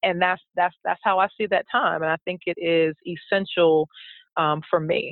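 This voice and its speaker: A woman with an unremarkable speaking voice talks at a moderate pace, her fairly low pitch held in fairly even intonation. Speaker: blogger and educator. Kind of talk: interview.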